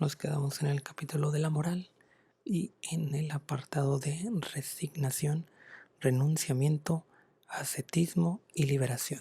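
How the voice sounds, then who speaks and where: The voice is somewhat breathy, dark and mellow in tone, with fairly even intonation. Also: man, fairly high pitch for a man, fairly slow pace. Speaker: ASMR content creator. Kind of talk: whispered ASMR book reading. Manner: soft-spoken, whispering, slow.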